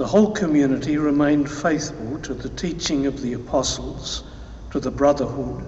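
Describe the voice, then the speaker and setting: Over light background noise, a man talks at a moderate pace with audible room echo. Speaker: lector reading scripture; priest reading scripture. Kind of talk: reading aloud at mass; liturgical reading. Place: church. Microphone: podium.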